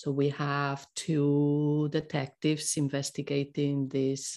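A woman speaks with a Spanish accent against a quiet background. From Spain. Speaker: Spanish teacher. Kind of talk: casual interview about a course launch.

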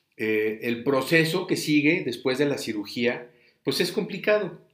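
With a fairly high pitch and lively intonation, a man talks at a fairly slow pace amid audible room echo. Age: 40s. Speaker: podcast host, brain tumor survivor. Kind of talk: personal testimony, unedited monologue. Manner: many filler words, some stumbling. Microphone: recording setup adjusted; voice said to sound poor.

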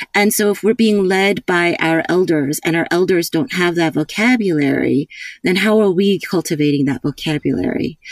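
Ordinary pitch variation in a dry, close sound with no echo, plus noticeable background noise. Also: woman, fairly low pitch for a woman, moderate pace, very even loudness. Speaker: counselor and camp co-director. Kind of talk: casual interview chat. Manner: soft-spoken, quiet to avoid being heard.

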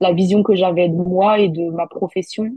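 Her pitch sits in the middle range for a woman, and her intonation stays fairly even. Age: 30s. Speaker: influencer. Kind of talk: interview.

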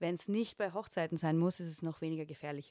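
With an unremarkable speaking voice, a woman talks at a fairly low pitch and fairly even intonation, recorded dry and close with no echo on a very clean recording with a silent background. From Austria, Upper Austrian parents, lived in Vienna. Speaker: photographer and interior designer. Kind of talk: casual chat.

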